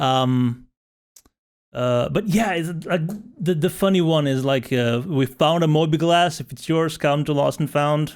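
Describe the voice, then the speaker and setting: At a fairly slow pace, a man with a Slovenian accent talks at a fairly high pitch with ordinary pitch variation. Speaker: podcast host. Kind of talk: casual chat.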